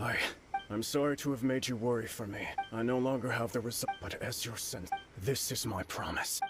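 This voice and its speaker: A man puts on a character voice at a medium pitch. He talks at a fairly quick pace over clear background noise. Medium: video game.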